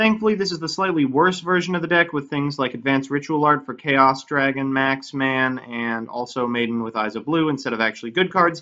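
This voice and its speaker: A man talks at a fairly quick pace with hardly any pauses. His fairly high voice has a bright, sharp tone and ordinary pitch variation. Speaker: card game video creator. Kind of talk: gameplay commentary. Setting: cheap home microphone. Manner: dry, sarcastic.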